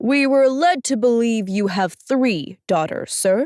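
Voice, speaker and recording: A woman uses a put-on character voice, high in pitch, with lively intonation. Her loudness stays very even throughout. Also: fairly slow pace. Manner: formal, informative.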